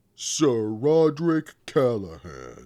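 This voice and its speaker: Putting on a character voice, a man with a medium-pitched voice makes very wide pitch swings. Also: very clean recording, silent background. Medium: read story. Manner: gentle, plain-spoken.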